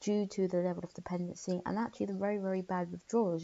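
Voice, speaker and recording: A woman's fairly low, monotone voice with flat intonation, at a very fast pace in a London accent. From London, England. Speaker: YouTuber discussing philosophy. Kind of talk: casual vlog monologue. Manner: hesitant, many fillers.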